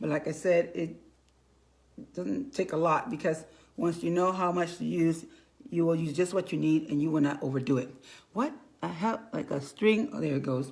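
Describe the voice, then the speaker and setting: With a fairly low pitch and vocal fry, a woman uses lively intonation broken by long, frequent pauses. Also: moderate pace. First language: Spanish. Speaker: makeup consultant and bilingual school teacher. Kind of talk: makeup tutorial livestream. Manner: casual, halting with repetitions.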